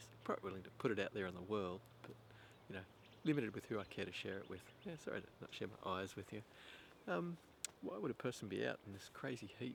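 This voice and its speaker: A soft-spoken voice talks at a very fast pace. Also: man. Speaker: vlogger. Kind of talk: casual monologue to camera. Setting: outdoors. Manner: halting.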